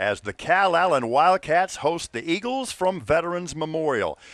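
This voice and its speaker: Against a quiet background, a man with a high pitch and a bright, sharp tone talks at a fairly slow pace in a dry, close sound with no echo. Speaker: sports announcer, play-by-play. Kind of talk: sports broadcast opening, high school football.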